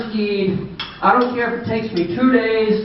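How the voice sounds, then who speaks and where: Over noticeable background noise and audible room echo, a man speaks fairly slowly with ordinary pitch variation. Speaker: banquet speaker, car parts seller. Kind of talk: after-dinner speech. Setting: banquet with audience.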